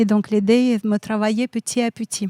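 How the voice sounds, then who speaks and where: A woman speaks in a Siberian Russian accent with a dark, mellow tone. The recording is very clean, with a silent background. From Russia, Siberia (Kemerovo). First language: Russian (speaking French). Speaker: photographer. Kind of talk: interview. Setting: café.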